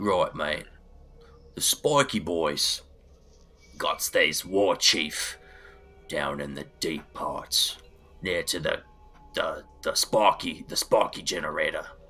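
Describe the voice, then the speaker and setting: In a put-on character voice, a man sounds gruff and raspy. He goes very slowly, with long, frequent pauses. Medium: actual play. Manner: gruff, boastful, says mate constantly.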